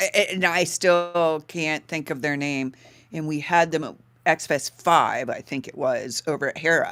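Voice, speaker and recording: A woman talks at a moderate pace in a fairly low pitch with a bright, sharp tone, her pitch varying in an ordinary way and her loudness swinging widely. The recording is very clean, with a silent background. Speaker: voice actor and radio host. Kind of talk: live radio variety show banter.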